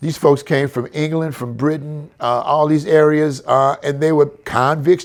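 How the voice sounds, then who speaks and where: A man talks at a moderate pace in a fairly high pitch with an American accent. He has an ordinary speaking voice. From San Francisco, California. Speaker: historian, author and lecturer. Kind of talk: podcast interview answer. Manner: casual, conversational.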